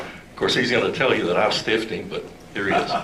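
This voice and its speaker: Audible room echo surrounds this man's voice. There is also noticeable background noise. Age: old. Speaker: club president. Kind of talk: club meeting announcements. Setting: meeting hall with audience.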